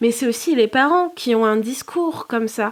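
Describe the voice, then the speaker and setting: On a very clean recording with a silent background, a woman talks at a fairly quick pace, her fairly high voice showing ordinary pitch variation. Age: 20s. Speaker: therapist, podcast guest. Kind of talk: interview testimony. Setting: podcast recording. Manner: hesitant, many fillers.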